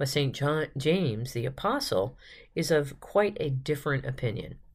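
Recorded very cleanly against a silent background, a woman speaks at a fairly slow pace in a very deep, low pitch. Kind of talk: guided devotional reading with prayer and reflection.

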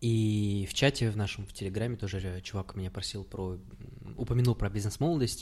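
A man talks fairly quickly in a somewhat breathy voice, his pitch varying in an ordinary way. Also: fairly low pitch for a man. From Kazakhstan. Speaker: podcast host. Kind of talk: casual chat.

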